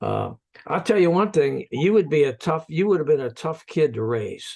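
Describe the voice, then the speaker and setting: The speaker uses an ordinary speaking voice at a moderate pace. Intonation is lively, and the background is quiet. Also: man, fairly high pitch for a man. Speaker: podcast host. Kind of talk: interview questions.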